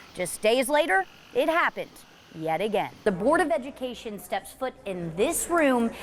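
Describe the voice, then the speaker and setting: Over noticeable background noise, a woman talks with very wide swings in pitch. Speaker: TV news reporter. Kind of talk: TV news live shots and standups.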